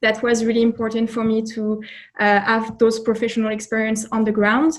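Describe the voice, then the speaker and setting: A woman with a French accent speaks at a fairly high pitch. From France. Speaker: job candidate, recent graduate. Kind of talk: interview.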